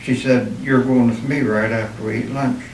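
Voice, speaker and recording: A man with a western Pennsylvania accent talks at a moderate pace and medium pitch, his intonation fairly even. Noticeable background noise and audible room echo surround him. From western Pennsylvania, Armstrong County. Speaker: war veteran. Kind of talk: oral history interview.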